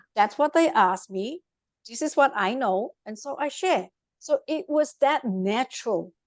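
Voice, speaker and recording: Speaking at a fairly slow pace in a Vietnamese accent, a woman uses a high pitch with very wide pitch swings and big swings in loudness, in a dry, close sound with no echo. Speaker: life coach. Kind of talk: interview. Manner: animated.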